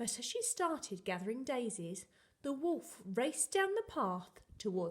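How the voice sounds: The voice heard here is a natural reading voice.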